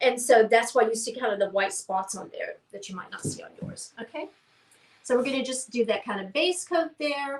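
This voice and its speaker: Speaking in a Southern US accent, a woman uses a high pitch and lively intonation at a moderate pace. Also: big swings in loudness. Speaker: painting class instructor. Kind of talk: live painting tutorial; casual chat. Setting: livestream. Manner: halting, many fillers.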